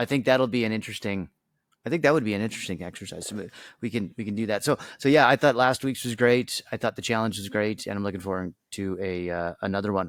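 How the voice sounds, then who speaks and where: Speech comes very fast with ordinary pitch variation. The recording is very clean and dry, close with no echo, against a silent background. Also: man, fairly low pitch for a man. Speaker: podcast co-host. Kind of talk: casual chat. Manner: halting, many fillers.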